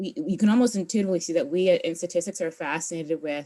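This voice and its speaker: A woman is speaking. Her pitch rises and falls in an ordinary way. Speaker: teaching assistant. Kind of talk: tutorial. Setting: recorded online video. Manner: fast.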